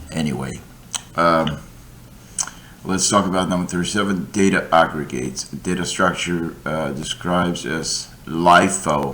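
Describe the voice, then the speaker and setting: Noticeable background noise and audible room echo surround the voice. It moves at a fairly slow pace with fairly even intonation. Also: man, very deep, low pitch for a man. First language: not English. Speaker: coding tutor. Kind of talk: tutorial. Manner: halting.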